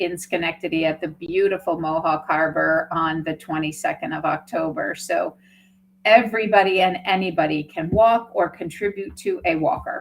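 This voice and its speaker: This woman has a plain, everyday voice at a fairly low pitch. She talks at a moderate pace with fairly even intonation. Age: 60s. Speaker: nonprofit executive director. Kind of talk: interview.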